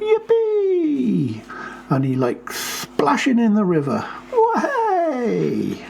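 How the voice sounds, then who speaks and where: A man speaks at a very slow pace in a put-on character voice. Clear background noise is heard behind him. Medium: read story. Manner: cheeky, gleeful.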